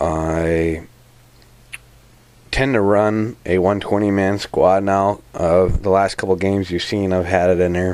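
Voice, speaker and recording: Over noticeable background noise, a man with a very deep, low pitch speaks in a monotone, flat intonation. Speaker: tabletop wargaming hobbyist. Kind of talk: casual vlog. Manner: halting.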